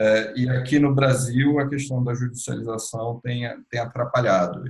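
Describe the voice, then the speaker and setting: Speaking with a Brazilian accent, the man keeps a medium pitch, fairly even intonation and a moderate pace. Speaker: healthcare executive, webinar speaker. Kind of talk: webinar Q&A and closing remarks. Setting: video call webinar.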